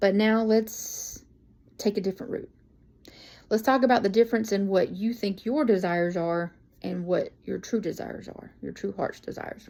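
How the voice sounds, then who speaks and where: On a very clean recording with a silent background, a woman speaks at medium pitch and a moderate pace, her dark, mellow tone showing ordinary pitch variation and big swings in loudness. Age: 40s. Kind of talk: sermon. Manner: casual.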